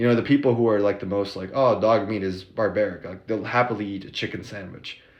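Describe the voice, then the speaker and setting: A man with an American accent speaks at a fairly low pitch. His pace is very fast. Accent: American accent noticed by locals. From United States. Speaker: vlogger. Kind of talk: casual monologue. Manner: casual, many filler words.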